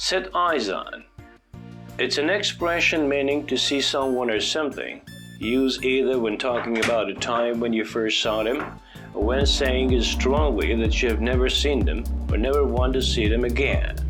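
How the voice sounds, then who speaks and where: Moderate pace and very even loudness, with music in the background. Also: man. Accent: American. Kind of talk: English vocabulary lesson narration, teaching synonyms with example sentences.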